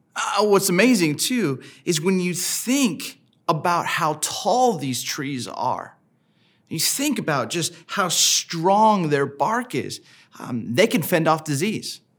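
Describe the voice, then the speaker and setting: A man's high-pitched voice at a very slow pace, with very wide pitch swings, on a very clean recording against a silent background. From Southern California. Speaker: pastor. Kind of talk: sermon. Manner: casual, conversational with many fillers.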